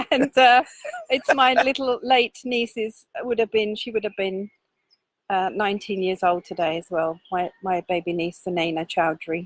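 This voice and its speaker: A woman speaks in an ordinary speaking voice at a medium pitch and a moderate pace. Her intonation is lively, and the sound is dry and close with no echo. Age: 60s. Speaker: activist. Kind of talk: casual chat. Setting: outdoors.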